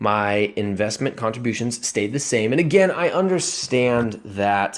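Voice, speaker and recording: He has an ordinary speaking voice at a medium pitch. His intonation is lively. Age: 20s. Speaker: personal finance vlogger. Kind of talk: casual screen-share commentary.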